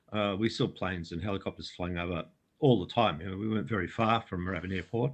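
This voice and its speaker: Very fast talk from a man with an Australian accent, a very deep, low voice and ordinary pitch variation. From Australia, Melbourne area. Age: 60s. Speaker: UFO researcher and author. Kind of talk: interview storytelling. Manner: halting, many fillers.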